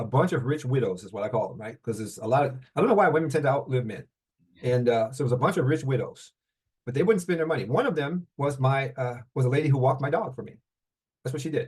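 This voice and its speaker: A man speaks very fast at a medium pitch, somewhat breathy, with ordinary pitch variation and big swings in loudness. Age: 70s. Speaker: mortgage note investor. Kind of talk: interview. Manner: halting.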